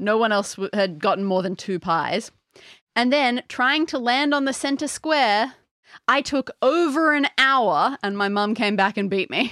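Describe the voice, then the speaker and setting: A woman's fairly high, bright and sharp voice at a fairly slow pace, on a very clean recording with a silent background. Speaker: podcast co-host. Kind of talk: casual chat. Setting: playing a board game at home. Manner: quiet when reading questions.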